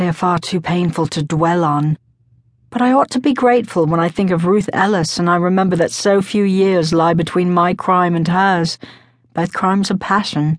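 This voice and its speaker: A woman speaks at a fairly low pitch with ordinary pitch variation. It is an unremarkable speaking voice. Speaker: audiobook narrator. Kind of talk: dramatic audiobook narration, first-person. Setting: studio. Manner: solemn, brooding; intense, slow, measured.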